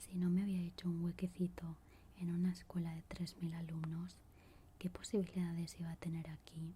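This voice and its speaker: Someone is whispering. The words come at a moderate pace. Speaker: ASMR creator. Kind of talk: whispered book reading. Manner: whispered.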